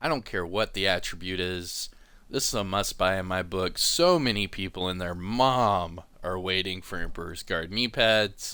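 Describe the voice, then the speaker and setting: A man speaks in a very deep, low pitch with a slight Southern US accent and a bright, sharp tone. The recording is very clean, with a silent background. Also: ordinary pitch variation, moderate pace. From US South, East Coast. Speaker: gaming YouTuber. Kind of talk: game commentary.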